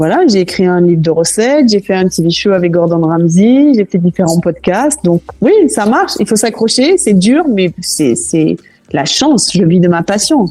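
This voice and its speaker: A woman with a normal speaking voice at a medium pitch, lively in intonation, very even in loudness, at a fairly slow pace. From southwest France, Toulouse. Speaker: cooking school founder. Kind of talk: podcast interview.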